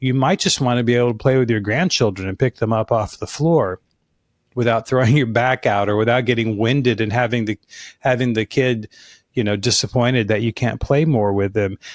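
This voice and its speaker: A man with an American accent talks in a plain, everyday voice at medium pitch and a fairly quick pace. The recording is very clean, with a silent background and a dry, close sound with no echo. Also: ordinary pitch variation. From Alaska and Colorado. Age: 60s. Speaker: fitness business consultant and author. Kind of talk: podcast interview.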